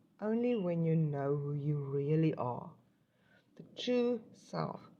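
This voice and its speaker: Very slowly, a woman speaks with a very deep, low pitch and a dark, mellow tone that is somewhat breathy. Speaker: tarot reader. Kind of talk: spiritual card reading to camera. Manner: hesitant, many fillers; stuttering today.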